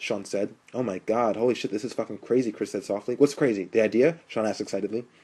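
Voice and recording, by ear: The text is read aloud in a natural voice.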